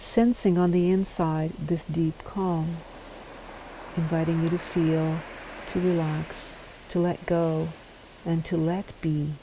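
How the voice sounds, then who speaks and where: A woman's fairly low, monotone, flat voice at a very slow pace, with long, frequent pauses, very even loudness and noticeable background noise. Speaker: meditation guide. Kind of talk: sleep meditation, guided body scan. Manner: slow, calm, with long pauses.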